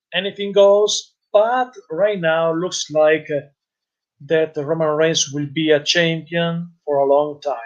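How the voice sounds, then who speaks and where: Fairly slow delivery with ordinary pitch variation. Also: man. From Italy. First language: Italian. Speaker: wrestling youtuber and live-stream commentator. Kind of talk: live-stream commentary and chat reading. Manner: halting, hesitant with fillers.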